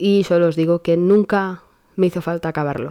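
A woman speaks at a moderate pace in a dark, mellow tone. Her pitch sits fairly low, and her intonation stays monotone and flat. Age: 20s. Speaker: podcast host. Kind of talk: casual monologue. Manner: hesitant, many fillers.

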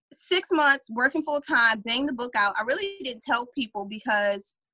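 A woman with an American accent speaks at a moderate pace with high pitch, lively intonation and a bright, sharp tone, the sound dry and close with no echo. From Louisiana, US South. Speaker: career coach and author. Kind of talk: interview conversation.

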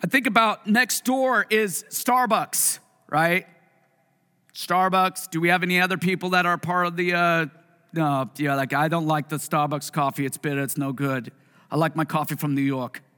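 Animated and lively in intonation, a man with a Pacific Northwest accent speaks at a high pitch in a bright, sharp tone. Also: moderate pace. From US Pacific Northwest (Puyallup, Washington). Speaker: pastor. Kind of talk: sermon. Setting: church with congregation.

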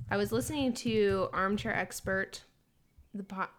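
Speaking at a fairly slow pace, a woman of medium pitch uses very wide pitch swings and vocal fry. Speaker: podcast co-host. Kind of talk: casual chat.

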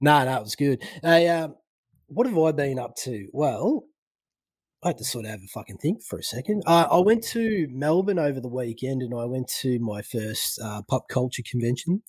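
Speaking with an Australian accent, a man with a fairly high pitch uses lively intonation, big swings in loudness and a moderate pace. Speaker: podcast guest. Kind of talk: casual chat.

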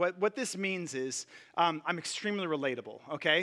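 At a moderate pace, a man talks in a raised, projected voice with a bright, sharp tone. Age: 40s. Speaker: pastor. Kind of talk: sermon. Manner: casual, with many filler words.

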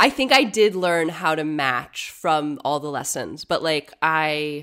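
A woman speaks with an American accent at a very deep, low pitch. Her pitch varies in an ordinary way. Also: very clean recording, silent background. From US Midwest, Cincinnati, Ohio. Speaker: comedian. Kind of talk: casual chat.

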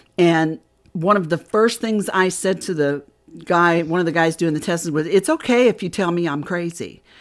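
A woman with an American accent, fairly low pitch, ordinary pitch variation and a moderate pace, in a very clean recording with a silent background. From US Midwest, Indiana. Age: 60s. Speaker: author and paranormal experiencer. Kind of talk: casual interview.

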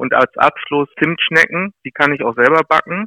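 A man is speaking. The tone of his voice is bright and sharp. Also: dry, close sound with no echo. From Lower Saxony, Weser area near Rinteln. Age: 40s. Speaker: mayoral candidate. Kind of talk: interview.

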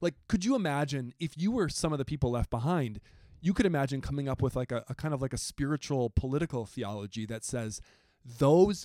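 Recorded very cleanly against a silent background, with a dry, close sound and no echo, a man with an American accent speaks at a fairly quick pace in a fairly high voice with a dark, mellow tone and lively intonation. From rural Wisconsin. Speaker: Bible professor. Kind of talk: recorded class discussion.

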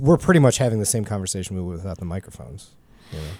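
The recording is very clean with a silent background. A man speaks in a dark, mellow tone. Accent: Midwestern. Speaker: podcast host, guitar gear. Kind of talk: casual chat. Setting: studio.

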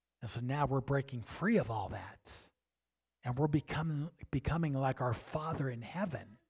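Somewhat breathy, a man speaks at a moderate pace with ordinary pitch variation in a very clean recording with a silent background. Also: fairly high pitch for a man. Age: 60s. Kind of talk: sermon. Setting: congregation service with live audience.

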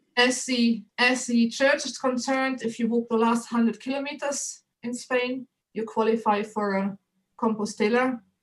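A woman's high-pitched voice in a German accent, with monotone, flat intonation. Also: moderate pace. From Germany. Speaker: photographer and author. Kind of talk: interview.

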